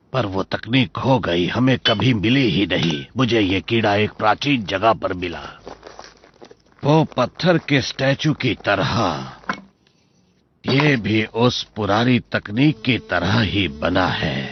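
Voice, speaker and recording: Speaking fairly slowly, a man adopts a put-on character voice. His pitch sits in the medium range. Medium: fan dub. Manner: warm, gentle.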